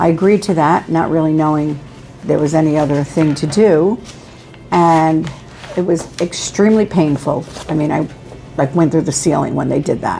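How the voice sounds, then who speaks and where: Over music in the background, a woman speaks at a moderate pace in a very deep, low pitch with ordinary pitch variation and long, frequent pauses. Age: 70s. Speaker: patient. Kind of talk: testimony.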